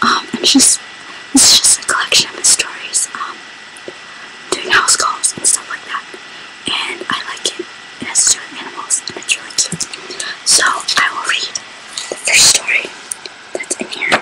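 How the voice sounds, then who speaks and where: The voice whispers at a moderate pace, with long, frequent pauses. Noticeable noise is audible in the background. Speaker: whisper reader. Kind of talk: casual talk to camera. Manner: whispered.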